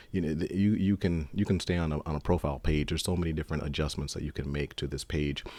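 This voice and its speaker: A dark, mellow tone with ordinary pitch variation, on a very clean recording with a silent background. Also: man. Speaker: software developer. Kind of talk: tutorial. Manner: fast; halting.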